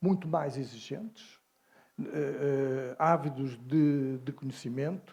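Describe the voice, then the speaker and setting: Against a very clean recording with a silent background, a man speaks in a dark, mellow tone at a medium pitch with fairly even intonation. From mainland Portugal. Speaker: university professor, animal scientist. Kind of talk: interview. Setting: at a congress.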